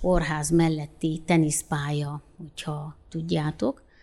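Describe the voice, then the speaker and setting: In a dark, mellow tone, a woman speaks at a very slow pace. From Romania, Oradea (Hungarian minority). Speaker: sports club president and local councillor. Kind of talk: interview.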